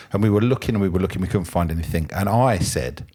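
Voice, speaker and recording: In a southern English accent, a man speaks with a very deep, low pitch, a dark, mellow tone and ordinary pitch variation. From England, London area. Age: 50s. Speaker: podcast guest, former ambulance driver. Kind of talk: casual chat.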